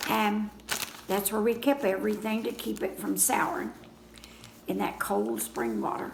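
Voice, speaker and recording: A woman at a moderate pace with long, frequent pauses, against noticeable background noise. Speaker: grandmother telling stories of rural childhood. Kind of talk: casual reminiscing interview answer.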